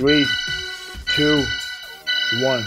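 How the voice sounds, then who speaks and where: Loud music in the background under a man's very slow speech with ordinary pitch variation. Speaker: fitness instructor. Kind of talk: workout coaching cues. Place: gym.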